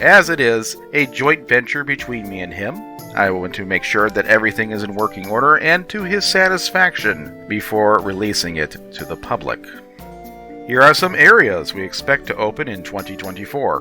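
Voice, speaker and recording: A man's fairly low voice at a moderate pace, with very wide pitch swings and big swings in loudness, over music in the background. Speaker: game update host. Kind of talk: game development update narration.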